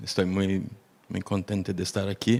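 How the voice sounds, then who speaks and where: Speaking fairly slowly, a man with a Portuguese accent keeps a fairly low pitch and monotone, flat intonation. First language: Portuguese (speaking Spanish). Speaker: researcher, panelist. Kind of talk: panel discussion.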